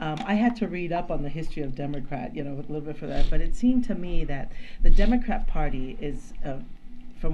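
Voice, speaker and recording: The words come out very fast, with noticeable noise in the background. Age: 60s. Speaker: podcast guest, Democrat supporter. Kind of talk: casual political discussion.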